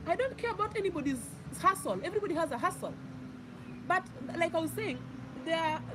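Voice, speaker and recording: An extremely high-pitched woman at a very fast pace, with lively intonation, long, frequent pauses and noticeable background noise. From Kenya. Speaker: YouTuber. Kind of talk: storytime monologue. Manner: animated.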